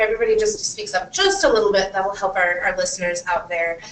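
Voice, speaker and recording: A woman talks with ordinary pitch variation as noticeable background noise carries on behind her. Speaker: panel moderator. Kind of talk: moderated panel discussion. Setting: panel event with audience, recorded on camera. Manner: loud. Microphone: far from the camera.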